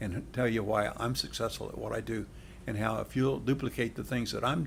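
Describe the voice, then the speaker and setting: Vocal fry at a fairly quick pace, with fairly even intonation. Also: man, medium pitch for a man. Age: 70s. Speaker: direct sales leader. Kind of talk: interview. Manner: repetitive, halting starts.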